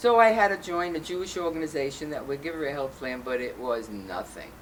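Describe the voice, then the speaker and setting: Pitch swings very widely in this fairly quick delivery with a New York accent. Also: woman, very deep, low pitch for a woman. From Brooklyn, New York. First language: Yiddish. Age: old. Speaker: LGBTQ rights activist. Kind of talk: interview.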